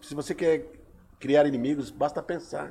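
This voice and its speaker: His voice sits fairly high in pitch. This man talks at a moderate pace. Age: 50s. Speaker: poet. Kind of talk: casual chat.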